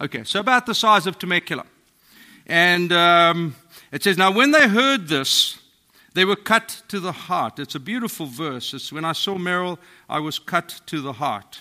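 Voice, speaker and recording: Captured on a very clean recording with a silent background, a man with a non-native accent, a high pitch and a bright, sharp tone speaks at a moderate pace with lively intonation. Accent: foreign accent, non-American. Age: 50s. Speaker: pastor. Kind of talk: sermon. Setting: church.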